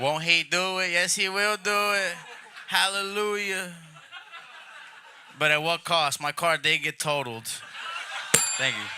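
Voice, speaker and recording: A man with a fairly high voice talks at an average speed. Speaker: stand-up comedian. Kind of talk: stand-up. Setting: stage with audience.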